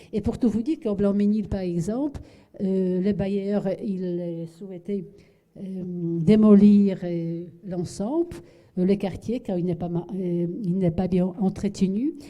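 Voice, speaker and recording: At a very slow pace, a woman speaks at medium pitch with a dark, mellow tone. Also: ordinary pitch variation. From Poland. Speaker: architect. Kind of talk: lecture. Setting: lecture hall with audience. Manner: halting, many fillers and repetitions.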